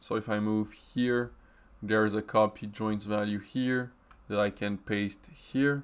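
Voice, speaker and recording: A man's medium-pitched, monotone voice with flat intonation and a French accent, in a very clean recording over a silent background. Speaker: software trainer. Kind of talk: tutorial. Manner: halting, with many fillers.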